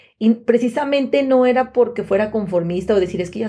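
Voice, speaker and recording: A woman's somewhat breathy, dark and mellow voice at a fairly high pitch, fairly quick in pace, with ordinary pitch variation. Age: 30s. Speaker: podcast co-host. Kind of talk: casual chat.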